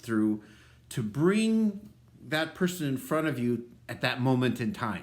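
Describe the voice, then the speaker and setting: With an American accent, a man talks at a fairly slow pace. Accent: Minnesota accent, disputed by him. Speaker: pastor. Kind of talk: devotional talk. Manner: casual, many filler ums.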